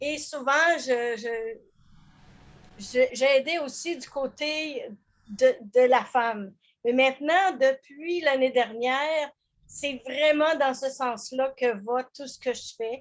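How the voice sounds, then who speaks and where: The speech moves at a very slow pace with long, frequent pauses, big swings in loudness and ordinary pitch variation. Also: woman, high pitch for a woman. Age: 70s. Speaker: business coach. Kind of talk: group video call introduction. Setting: video call.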